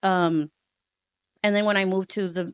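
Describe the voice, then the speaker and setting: On a very clean recording with a silent background and a dry, close sound with no echo, a woman with a Spanish accent speaks at medium pitch and a moderate pace with fairly even intonation. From Texas, Houston and Rio Grande Valley. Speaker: educator and school leader. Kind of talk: interview.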